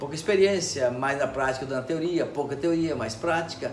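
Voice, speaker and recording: A man at a fairly quick pace with very wide pitch swings, plus audible room echo and noticeable background noise. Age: 60s. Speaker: electronics repair technician. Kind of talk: interview. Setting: electronics repair shop.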